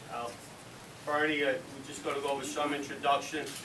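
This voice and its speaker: A man with a New York accent speaks at a fairly high pitch over noticeable background noise. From Borough Park, Brooklyn. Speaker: fire department chief; ceremony host. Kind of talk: ceremony speech. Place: hall.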